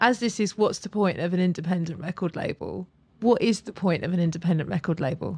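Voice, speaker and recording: Very fast speech comes out in a somewhat breathy voice. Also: woman, fairly low pitch for a woman, ordinary pitch variation. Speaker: podcast host. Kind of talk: casual interview.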